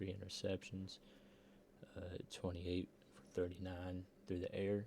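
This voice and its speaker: A man speaks at a fairly slow pace in a very deep, low voice. His delivery is somewhat breathy. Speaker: sim football league recap host. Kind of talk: casual sports recap. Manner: monotone.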